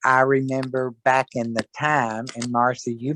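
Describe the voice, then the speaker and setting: Over a quiet background, a man with an American accent and a medium pitch speaks at a very slow pace, the sound dry and close with no echo. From US South. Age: 70s. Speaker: fashion club member. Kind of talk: casual chat.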